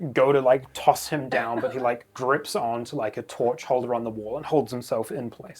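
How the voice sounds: The pitch moves in an ordinary way. It belongs to a natural reading voice.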